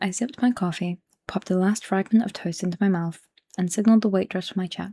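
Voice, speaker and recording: In a very clean recording with a silent background and a dry, close sound with no echo, a soft-spoken woman talks at a very fast pace in a medium pitch, her dark, mellow, somewhat breathy voice holding fairly even intonation. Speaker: ASMR creator. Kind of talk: book reading to help sleep.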